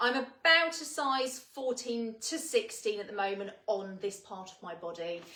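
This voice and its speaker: Noticeable background noise sits behind a woman with a British accent who speaks with hardly any pauses at a fairly high pitch, with very wide pitch swings and big swings in loudness. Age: 30s. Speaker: fashion retailer presenter. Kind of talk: product presentation. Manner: casual, with many fillers.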